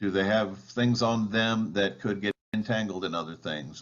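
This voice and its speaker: A man speaks at a moderate pace. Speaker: balloon safety presenter. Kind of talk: presentation. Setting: video call.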